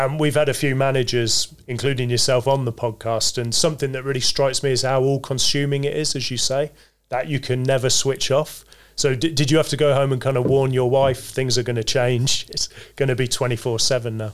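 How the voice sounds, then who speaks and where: A man at a medium pitch, a fairly quick pace and monotone, flat intonation. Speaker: podcast host. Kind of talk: interview.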